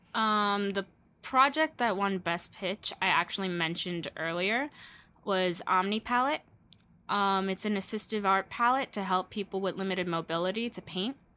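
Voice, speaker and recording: A woman speaks at a moderate pace with a medium pitch, ordinary pitch variation and a bright, sharp tone. The recording is very clean, with a silent background. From Brooklyn, New York. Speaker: youth festival organizer. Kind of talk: casual chat.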